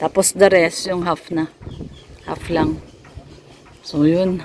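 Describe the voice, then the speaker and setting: Speech comes at a fairly slow pace with noticeable background noise present. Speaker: vlogger. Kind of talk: casual home-building vlog.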